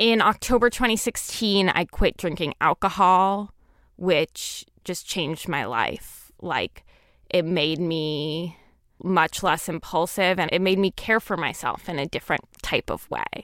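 In a very clean recording with a silent background and a dry, close sound with no echo, a woman with an ordinary speaking voice talks at a fairly slow pace, medium in pitch with ordinary pitch variation. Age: 20s. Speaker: writer. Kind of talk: interview. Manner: casual, filler-heavy speech.

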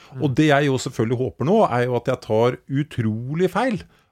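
The recording is very clean and dry, close with no echo, over a silent background. A man with a normal speaking voice and medium pitch speaks with lively intonation. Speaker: podcast co-host. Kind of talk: casual chat.

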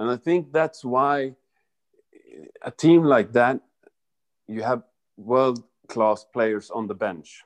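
A man speaks at medium pitch with ordinary pitch variation. His very slow delivery has long, frequent pauses in a dry, close sound with no echo. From Sweden. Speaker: former professional footballer. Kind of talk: interview.

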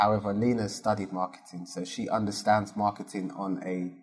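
Speaking in a South London accent, a man with a fairly low pitch keeps a moderate pace and a flat, monotone delivery. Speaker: business founder. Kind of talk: interview.

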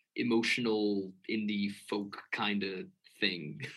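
Speaking at a very slow pace, a man with an American accent has a bright, sharp tone. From US Midwest, Chicago. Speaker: musician. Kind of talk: casual interview chat. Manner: hesitant, many fillers.

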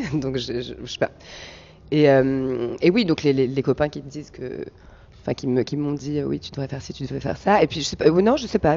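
Talking at a fairly quick pace, a woman uses a very deep, low pitch with ordinary pitch variation. Her loudness swings widely. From Paris region, France (Val d'Oise). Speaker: stand-up comedian. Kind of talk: interview. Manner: halting, many repetitions.

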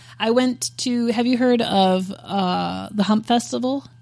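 With an American accent and an unremarkable speaking voice, a woman talks at a fairly slow pace with lively intonation on a very clean recording with a silent background. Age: 30s. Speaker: podcast co-host. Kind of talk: casual chat. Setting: in-person recording.

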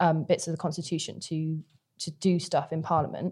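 With a British accent, a woman speaks in a dark, mellow, somewhat breathy tone at a fairly low pitch, her intonation monotone and flat. The recording is very clean, with a silent background. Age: 20s. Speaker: student political campaigner. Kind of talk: political discussion podcast.

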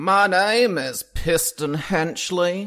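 Putting on a character voice, a man speaks at a high pitch. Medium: actual play. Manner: forceful, showy.

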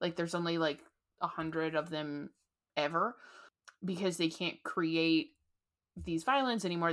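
A woman speaks at a moderate pace with a fairly low pitch, in a very clean recording with a silent background. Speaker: podcast host. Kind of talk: casual chat. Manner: casual, chatty.

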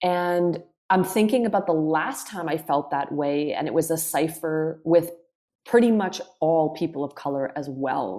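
Music plays behind a woman of fairly low pitch who speaks at a fairly slow pace with ordinary pitch variation. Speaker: counsellor and somatic practitioner. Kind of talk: casual interview conversation.

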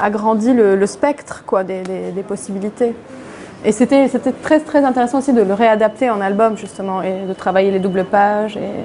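A woman's medium-pitched voice, with ordinary pitch variation, moves at a moderate pace through noticeable background noise. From Lebanon, Beirut. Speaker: comic book author. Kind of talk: public interview. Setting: event with live audience. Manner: halting, many repetitions.

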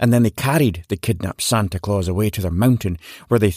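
The reading is done in an unforced voice, its pitch varying in an ordinary way.

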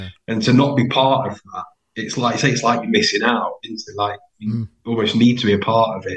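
Somewhat breathy and medium-pitched, a man talks fairly quickly with fairly even intonation and big swings in loudness. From Derbyshire, Peak District (Ashbourne). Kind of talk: casual chat.

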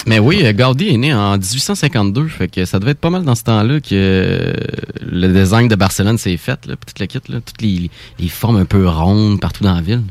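This man's fairly low voice carries lively intonation at a moderate pace. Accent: Quebec. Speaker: radio co-host. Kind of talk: casual chat. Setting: studio.

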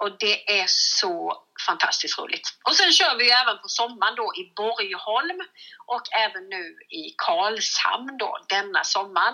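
A woman with a fairly high pitch talks at a fairly slow pace, her delivery marked by lively intonation and big swings in loudness. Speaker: comedian. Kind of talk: casual chat. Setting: phone call.

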